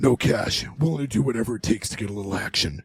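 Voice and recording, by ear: A man growls in a put-on character voice, gravelly and at a medium pitch. He talks at a very fast pace.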